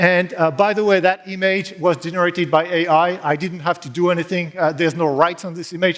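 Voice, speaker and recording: On a very clean recording with a silent background, a man with a high-pitched voice speaks at a fairly quick pace. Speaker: consultancy founder and conference speaker. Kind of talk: conference talk. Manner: fast.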